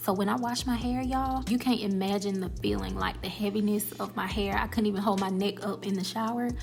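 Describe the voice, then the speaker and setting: Over music in the background, the speech runs at a fairly quick pace with hardly any pauses and audible room echo. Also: woman. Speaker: beauty vlogger. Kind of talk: casual vlog talk to camera. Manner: whispering.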